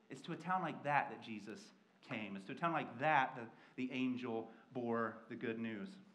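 Amid strong room echo, a man with an American accent speaks at a moderate pace and medium pitch, his tone fairly bright and his pitch variation ordinary.

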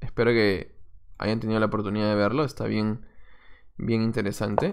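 A man's voice proceeds at a moderate pace. Nothing much is heard behind him. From Peru, Lima. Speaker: chess coach and streamer. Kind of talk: live stream commentary while playing chess. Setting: live stream. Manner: casual, thinking aloud.

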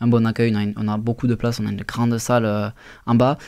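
Someone talks at a very fast pace in a monotone, flat intonation. The background is quiet. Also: man. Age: 20s. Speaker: restaurant owner; guest. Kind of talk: radio interview. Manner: halting, many fillers. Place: studio. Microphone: studio mic.

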